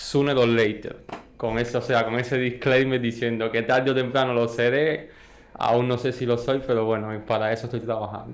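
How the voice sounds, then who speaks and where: In a Cuban accent, a man speaks at a moderate pace and medium pitch with monotone, flat intonation. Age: young. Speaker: entrepreneur, industrial engineer. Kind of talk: podcast interview. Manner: hesitant, many fillers.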